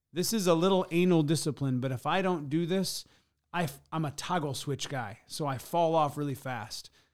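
A man with a Midwestern American accent, fairly high pitch and ordinary pitch variation at a fairly quick pace, in a very clean recording with a silent background. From US Midwest (rural Michigan thumb). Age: 40s. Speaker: business coach and speaker. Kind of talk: podcast interview. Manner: energetic.

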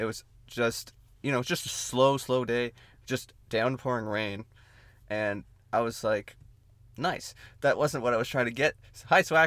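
Over a very clean, silent background, a man speaks at a medium pitch with ordinary pitch variation and long, frequent pauses. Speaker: podcast host. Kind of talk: casual banter podcast chat. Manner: fast talker, rambling.

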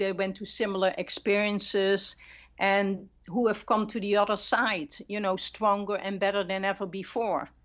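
Monotone, flat intonation at a moderate pace. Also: woman. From Netherlands. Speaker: marriage and family therapist. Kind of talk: interview.

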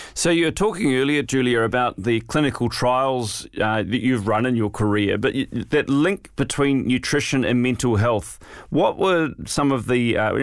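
At a moderate pace, a man speaks in a plain, everyday voice. His pitch variation is ordinary. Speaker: podcast host. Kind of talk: interview, scripted intro and outro.

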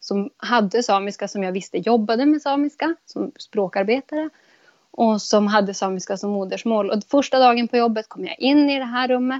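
A woman's unremarkable speaking voice, fairly high in pitch, at a moderate pace with ordinary pitch variation and a dry, close sound with no echo. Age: 30s. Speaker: podcast guest. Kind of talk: casual conversation.

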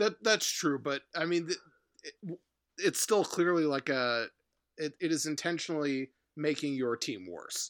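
Captured in a very clean recording with a silent background and a dry, close sound with no echo, a man speaks in a normal speaking voice at a fairly high pitch, with ordinary pitch variation and a moderate pace. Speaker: podcast co-host, sports fan. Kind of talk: casual sports chat.

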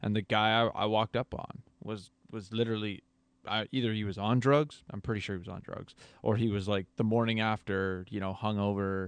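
An ordinary speaking voice, a man's, fairly low in pitch with fairly even intonation, over a quiet background. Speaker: podcast co-host. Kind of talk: casual conversation. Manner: conversational, casual.

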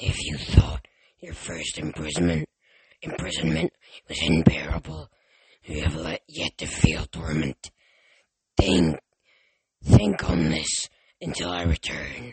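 A man in a put-on character voice, very deep and low, very slow, with long, frequent pauses. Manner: menacing.

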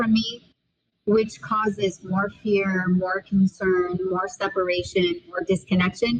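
Woman at a medium pitch with an ordinary speaking voice, fairly even intonation and a fairly slow pace. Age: 50s. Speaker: author and speaker. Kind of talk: interview.

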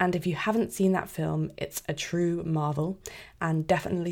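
A woman with a British accent speaks at a fairly quick pace in a fairly low voice, her intonation fairly even, on a very clean recording with a silent background. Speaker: podcast host. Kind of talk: podcast intro.

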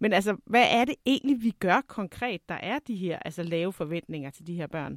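A woman with a plain, everyday voice at medium pitch, moderate pace, lively intonation and big swings in loudness, in a very clean recording with a silent background. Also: dry, close sound with no echo. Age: 40s. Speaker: podcast host and teacher. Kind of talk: interview.

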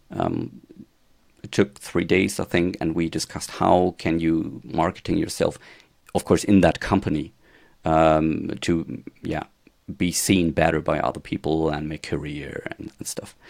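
With a German accent, a man speaks slowly-ish at a fairly slow pace, his very deep, low voice held in fairly even intonation. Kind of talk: casual interview chat. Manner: halting.

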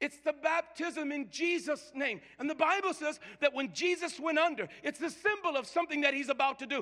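Raising and projecting his voice, a man speaks at an extremely high pitch with an animated tone and lively intonation. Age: 50s. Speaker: pastor. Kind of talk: sermon. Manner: stammering repetitions.

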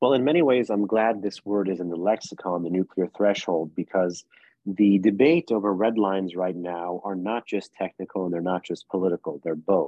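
A man's very deep, low voice in a New York accent, moderate pace, ordinary pitch variation. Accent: New York American. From US, New York City. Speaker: think tank policy analyst. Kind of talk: interview.

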